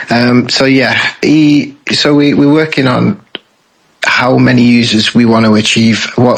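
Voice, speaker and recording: A man's medium-pitched voice in a Lancashire accent, at a moderate pace with fairly even intonation. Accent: British, Lancashire. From northern England, Bolton. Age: 20s. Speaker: game developer. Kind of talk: interview.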